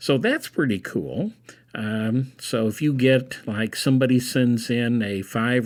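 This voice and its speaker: A man talks at a fairly slow pace in a medium pitch, with an unremarkable speaking voice. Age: 60s. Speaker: college instructor presenting a webinar. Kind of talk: webinar presentation. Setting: online webinar. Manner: casual, with frequent fillers.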